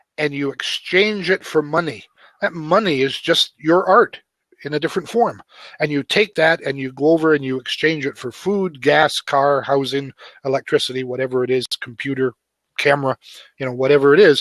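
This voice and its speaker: A man speaks at a moderate pace with ordinary pitch variation, in a normal speaking voice. His pitch sits fairly high. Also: dry, close sound with no echo. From Canada. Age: 60s. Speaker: author and web coach. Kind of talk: interview conversation.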